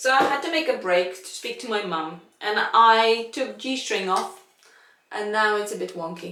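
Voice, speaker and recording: Fairly slow speech with a non-native accent and ordinary pitch variation. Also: woman. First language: not English. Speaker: violinist. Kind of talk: casual chat. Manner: halting.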